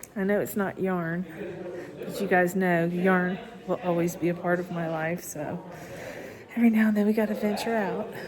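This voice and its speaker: Against noticeable background noise, a woman speaks with fairly even intonation and long, frequent pauses. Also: medium pitch for a woman, moderate pace. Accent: Southern US. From Florida. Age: 60s. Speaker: yarn crafting vlogger. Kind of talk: casual vlog narration. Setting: cave tour.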